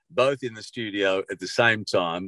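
A man speaks with lively intonation. The sound is dry and close with no echo, over a quiet background. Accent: Australian. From Sydney, Australia (Bondi). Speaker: veteran radio broadcaster. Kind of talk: interview.

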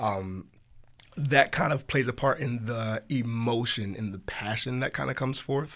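With an American accent, a man talks at a moderate pace in a normal speaking voice, his pitch medium with ordinary variation. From US South, Hampton, Virginia (Tidewater). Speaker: church worship leader. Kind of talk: casual podcast conversation.

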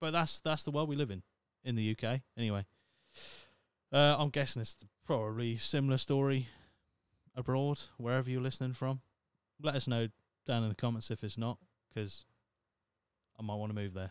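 A man with a British accent talks at a fairly quick pace but leaves long, frequent pauses. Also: medium pitch for a man, ordinary pitch variation, dry, close sound with no echo. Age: 30s. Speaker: podcast host. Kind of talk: solo podcast monologue. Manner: casual, sweary.

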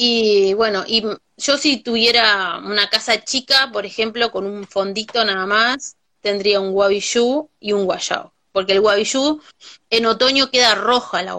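Fairly slow delivery in a Uruguayan accent, with ordinary pitch variation. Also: woman, fairly high pitch for a woman. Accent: Uruguayan Rioplatense Spanish. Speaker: farmer and cook. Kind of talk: casual chat. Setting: video call.

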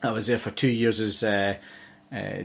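A man with a Scottish accent, fairly low in pitch, at a moderate pace. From Scotland, Dumfries (southwest). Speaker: golf course manager. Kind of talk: podcast interview.

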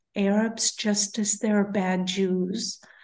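With an Israeli accent, a woman speaks very slowly and somewhat breathily at medium pitch, her intonation fairly even over a quiet background. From Israel, kibbutz. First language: Hebrew. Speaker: therapist and peace activist. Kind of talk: interview.

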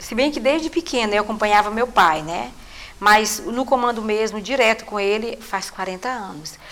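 A woman with a fairly high voice talks fairly slowly with normal pitch movement, while clear background noise runs behind her. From Maranhão, Brazil (Munim region, interior). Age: 60s. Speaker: cultural group leader and community leader. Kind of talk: interview testimony.

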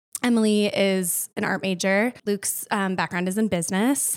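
An unremarkable speaking voice from a woman with an American accent, medium in pitch with ordinary pitch variation. She talks at a moderate pace on a very clean recording with a silent background. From US Midwest, Winona, Minnesota. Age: 30s. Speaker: retail store manager. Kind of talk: casual interview chat.

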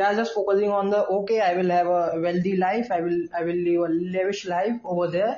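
Speaking at a moderate pace, a man has an Indian accent. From India, Indore, Madhya Pradesh. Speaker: guest from abroad. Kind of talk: casual chat. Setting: video call. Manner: halting.

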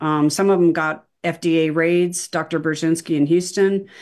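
Against a quiet background, a woman speaks at a moderate pace with fairly low pitch. Hers is an unremarkable speaking voice with fairly even intonation. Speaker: documentary filmmaker. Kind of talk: casual chat.

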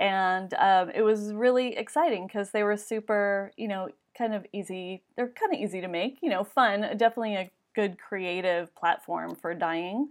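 Medium-pitched female voice, a normal speaking voice, with ordinary pitch variation and a moderate pace. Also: quiet background. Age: 40s. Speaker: small business owner. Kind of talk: interview.

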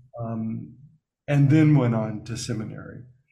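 A man with an American accent speaks at a very slow pace in a dark, mellow, somewhat breathy tone. There is audible room echo. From US South, Alabama. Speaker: spiritual teacher and author. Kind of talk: interview.

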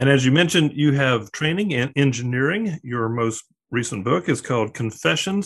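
Over a quiet background, a man with an American accent uses a normal speaking voice at medium pitch, a moderate pace and lively intonation. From Arklatex region, US South. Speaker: podcast host. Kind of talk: interview conversation.

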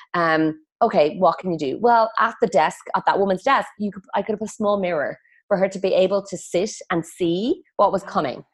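Someone speaks at a moderate pace with an Irish accent. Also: woman, medium pitch for a woman, ordinary pitch variation, quiet background. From west of Ireland. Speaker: feng shui consultant. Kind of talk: interview conversation.

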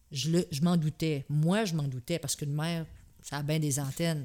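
A woman with a plain, everyday voice at a fairly low pitch, speaking at a fairly slow pace in a very clean recording with a silent background. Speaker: host's mother, military spouse. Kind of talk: casual chat.

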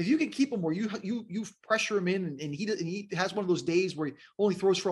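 Against a quiet background, a man with an American accent talks at a fairly quick pace, high-pitched, with lively intonation. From South Florida (West Palm Beach, Miami). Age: 40s. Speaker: TV sports anchor. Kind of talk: casual interview chat.

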